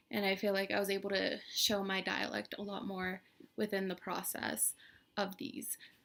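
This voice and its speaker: In an American accent, a woman talks at a moderate pace and medium pitch with a bright, sharp tone and vocal fry. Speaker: college student. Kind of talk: class reflection monologue. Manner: hesitant, many fillers.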